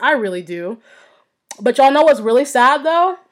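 A woman's high-pitched voice, fairly quick, animated in tone and lively in intonation. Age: 20s. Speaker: podcast host. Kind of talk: casual monologue.

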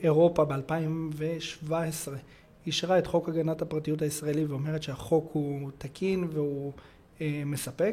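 Dark and mellow in tone, a man with a fairly high pitch talks at a fairly slow pace in a monotone, flat delivery. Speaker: cybersecurity consultant. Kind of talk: interview.

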